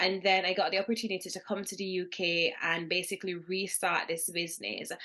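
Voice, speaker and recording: A woman talks at a fairly quick pace in a Jamaican accent. Her intonation is monotone and flat, with noticeable background noise. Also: medium pitch for a woman. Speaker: business founder. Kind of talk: interview.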